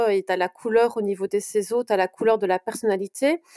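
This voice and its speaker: A woman with a slight Belgian accent speaks at a moderate pace, her pitch fairly high. Her tone is dark and mellow, and the sound is dry and close with no echo. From Belgium, Brussels. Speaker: portrait photographer. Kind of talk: interview.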